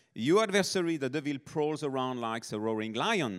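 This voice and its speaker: A man with a French accent speaks at a moderate pace, his fairly high pitch swinging very widely. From southern France, Nice. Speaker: missionary. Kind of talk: sermon.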